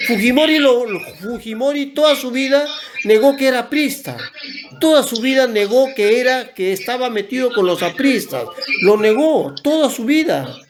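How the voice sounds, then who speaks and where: Over noticeable background noise, a man with an extremely high pitch talks at a moderate pace with ordinary pitch variation. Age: 60s. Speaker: environmental organization director. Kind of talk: interview. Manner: halting, frequent self-corrections.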